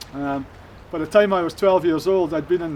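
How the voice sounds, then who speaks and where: Speaking in a Shetland accent, a man has a high pitch and fairly even intonation. He keeps a moderate pace over noticeable background noise. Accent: Shetland Scottish. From Shetland, Lerwick. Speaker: former addict giving testimony. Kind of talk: testimony. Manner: halting, many fillers.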